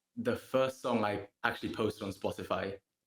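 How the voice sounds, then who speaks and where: With a Gibraltarian accent, the speaker talks in a monotone, flat way. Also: man. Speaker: singer-songwriter. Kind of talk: interview. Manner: casual, relaxed.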